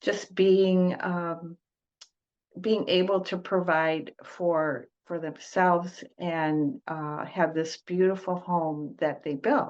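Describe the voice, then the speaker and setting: A woman with a Michigan accent, fairly low-pitched, ordinary pitch variation, a very slow pace and a quiet background. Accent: US Midwest (Michigan). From Detroit, US Midwest. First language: Italian. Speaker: trauma-informed coach, former teacher. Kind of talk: podcast interview. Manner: hesitant, many fillers.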